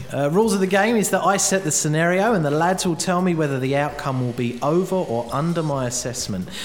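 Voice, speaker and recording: The tone is upbeat, with lively intonation and a very fast pace with hardly any pauses. Noticeable background noise runs underneath. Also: man, fairly high pitch for a man. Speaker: podcast host. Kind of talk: casual podcast hosting banter. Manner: chatty, jokey, upbeat.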